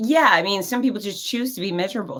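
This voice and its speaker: An animated tone in an American accent, on a very clean recording with a silent background. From South Florida. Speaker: fitness expert and cancer survivor. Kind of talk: podcast interview.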